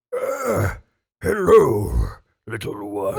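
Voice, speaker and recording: A raspy, put-on character voice from a man. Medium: actual play. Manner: relaxed, friendly.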